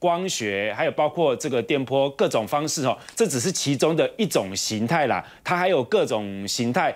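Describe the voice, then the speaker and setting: A man with a Taiwanese accent, fairly high pitch, vocal fry, very wide pitch swings and a moderate pace, on a very clean recording with a silent background. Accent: Taiwanese Mandarin. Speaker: TV political talk show host. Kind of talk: political talk show commentary. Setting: TV studio. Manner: animated.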